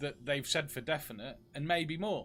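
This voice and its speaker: In a British accent, a man speaks with a bright, sharp tone. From UK. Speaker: game streamer. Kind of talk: live gameplay stream chat.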